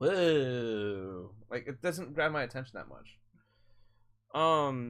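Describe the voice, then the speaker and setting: A man speaks at a very slow pace and medium pitch, with long, frequent pauses. The background is quiet. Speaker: gaming streamer. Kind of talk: live stream chat. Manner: halting.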